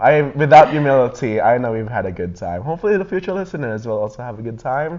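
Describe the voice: A man's raspy, put-on character voice at medium pitch, very fast, with very wide pitch swings.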